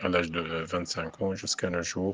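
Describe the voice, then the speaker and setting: The intonation is flat and monotone. The pace is fairly slow. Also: man. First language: Arabic (speaking French). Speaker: poet and French professor. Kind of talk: radio interview. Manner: halting, many hesitations.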